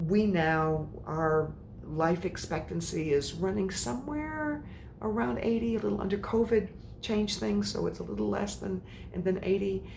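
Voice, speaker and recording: Amid noticeable background noise and audible room echo, a woman with an American accent speaks at a moderate pace in a very deep, low voice with very wide pitch swings. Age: 60s. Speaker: menopause coach. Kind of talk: motivational talk. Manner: animated.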